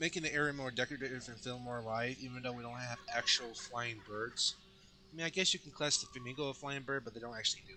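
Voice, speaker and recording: A man with an American accent talks at a very fast pace and medium pitch with fairly even intonation and big swings in loudness, over noticeable background noise. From Colorado, US. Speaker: gaming YouTuber. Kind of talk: game walkthrough commentary. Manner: halting, with fillers and restarts.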